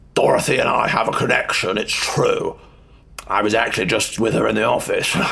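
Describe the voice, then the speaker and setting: Putting on a raspy character voice, a man talks at a fairly quick pace with very even loudness. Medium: audio drama. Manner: cool, controlled.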